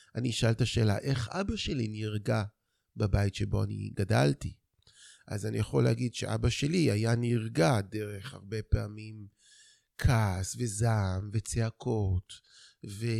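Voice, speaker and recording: A man's dark, mellow voice at a very slow pace, in a very clean recording with a silent background. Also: fairly low pitch for a man, ordinary pitch variation. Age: 50s. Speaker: men's therapist. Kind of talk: interview.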